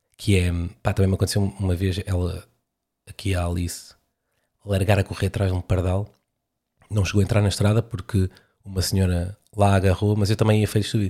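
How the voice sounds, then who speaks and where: Man with a European Portuguese accent, fairly low in pitch, dark, mellow and somewhat breathy, monotone and flat, at a fairly quick pace with long, frequent pauses on a very clean recording with a silent background. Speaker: podcaster and stand-up comedian. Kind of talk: stand-up comedy riff with rambling casual asides. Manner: conversational, self-deprecating, hesitant with filler words.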